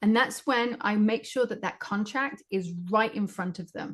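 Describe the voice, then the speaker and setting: Woman with a British accent, fairly high pitch, ordinary pitch variation, a somewhat breathy sound, big swings in loudness, and a fairly slow pace against a quiet background. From Great Britain. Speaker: psychic medium and spiritual teacher. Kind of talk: interview answer.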